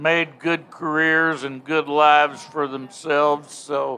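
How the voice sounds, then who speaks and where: Speaking at a very slow pace, a man holds a fairly high pitch in a flat monotone. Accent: Texan. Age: 60s. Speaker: football commentator. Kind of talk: interview. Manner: halting.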